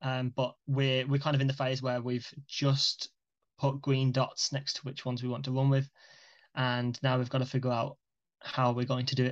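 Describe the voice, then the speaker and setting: A man's monotone voice with flat intonation, at a moderate pace. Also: medium pitch for a man. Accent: British. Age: 20s. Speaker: young entrepreneur. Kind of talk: casual chat.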